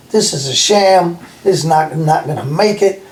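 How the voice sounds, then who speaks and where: Over noticeable background noise, a man with a high pitch and ordinary pitch variation speaks at a fairly slow pace. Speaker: former prisoner. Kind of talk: casual conversation.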